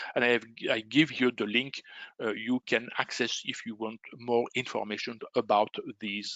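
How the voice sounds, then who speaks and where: Someone speaks at a moderate pace with a strong Belgian French accent. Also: man. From Belgium. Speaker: trading educator. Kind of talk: webinar sales presentation. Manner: halting, many fillers.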